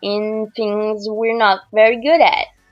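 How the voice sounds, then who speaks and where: With music in the background, a woman speaks very slowly at a fairly high pitch. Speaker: artist. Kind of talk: casual voiceover commentary on a speedpaint. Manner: hesitant, many fillers.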